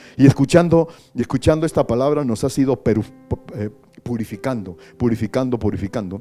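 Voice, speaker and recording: Music plays in the background as a man speaks. His pace is fairly quick, with ordinary pitch variation. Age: 60s. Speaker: pastor. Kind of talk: prayer.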